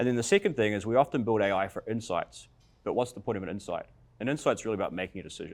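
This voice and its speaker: Speech comes at a very fast pace in a New Zealand accent with ordinary pitch variation. The recording is very clean with a silent background. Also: man, medium pitch for a man. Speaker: tech company founder, panelist. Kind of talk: panel discussion.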